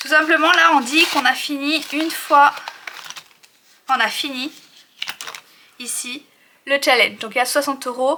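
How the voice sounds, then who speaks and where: Speaking in a raised, projected voice at a high pitch, a woman shows ordinary pitch variation, big swings in loudness, and long, frequent pauses. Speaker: budgeting YouTuber. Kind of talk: tutorial. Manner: fast.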